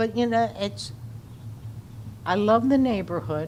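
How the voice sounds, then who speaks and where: Her pitch swings very widely as the woman speaks. Noticeable background noise and audible room echo fill the recording. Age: 80s+. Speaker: resident speaking at public comment. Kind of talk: public comment at city council meeting.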